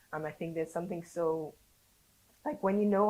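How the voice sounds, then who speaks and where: Very fast speech comes from a woman with a fairly low pitch. Her pitch variation is ordinary. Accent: London. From born in Saint Lucia, raised in London. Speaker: educator teaching Creole. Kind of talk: podcast interview answer.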